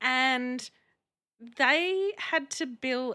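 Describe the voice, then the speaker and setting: A woman with a high pitch talks in a bright, sharp tone with lively intonation. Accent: Australian. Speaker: podcast host. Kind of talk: casual interview.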